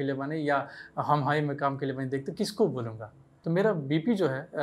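Speaking at a moderate pace, this man has a fairly high pitch. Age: 20s. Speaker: actor. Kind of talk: interview. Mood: warm, reflective storytelling. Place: studio.

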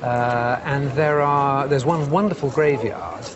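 With a British accent, a man talks at a fairly slow pace in a fairly high pitch. His pitch varies in an ordinary way, and background noise is noticeable. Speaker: antiques specialist. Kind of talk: casual chat.

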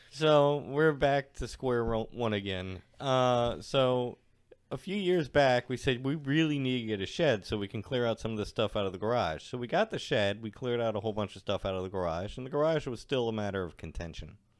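In a plain, everyday voice, a man at medium pitch talks at a fairly quick pace with lively intonation and hardly any pauses. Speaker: podcast co-host. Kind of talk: casual chat.

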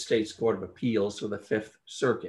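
A man is talking at a fairly quick pace. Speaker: panel moderator. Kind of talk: formal introduction. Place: home room. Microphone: video call.

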